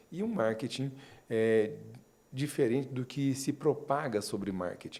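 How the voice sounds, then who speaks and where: The speaker is a man with a medium pitch. He talks with a Minas Gerais accent. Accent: mineiro. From Minas Gerais, Brazil (Uberlândia). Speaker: marketing consultant. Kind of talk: interview.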